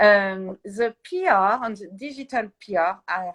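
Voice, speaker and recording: A woman speaks at a medium pitch in a French accent. The sound is dry and close, with no echo. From France. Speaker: PR agency founder. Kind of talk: interview. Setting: livestream. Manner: halting.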